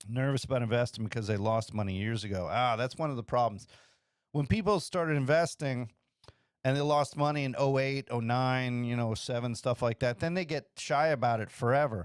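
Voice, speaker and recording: A man with an unremarkable speaking voice talks at a fairly quick pace and a medium pitch, with ordinary pitch variation. The recording is very clean, with a silent background. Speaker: podcast host giving money advice. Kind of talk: casual podcast monologue answering emails. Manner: loose, rambling with fillers and self-corrections.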